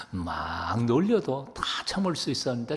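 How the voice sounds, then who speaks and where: Audible room echo and noticeable background noise. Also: man. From South Korea, Chuncheon, Gangwon. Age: 70s. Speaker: pastor. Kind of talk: sermon.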